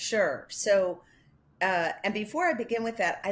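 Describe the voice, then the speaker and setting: A woman speaks with a Chicago accent at a fairly slow pace, her pitch varying in an ordinary way, on a very clean recording with a silent background. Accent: Chicago accent, slightly nasal. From Chicago area, US Midwest. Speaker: animal welfare advocacy director. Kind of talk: interview.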